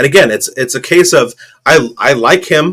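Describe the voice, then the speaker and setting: A man at a moderate pace. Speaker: fantasy football podcast co-host. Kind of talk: casual chat. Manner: loud.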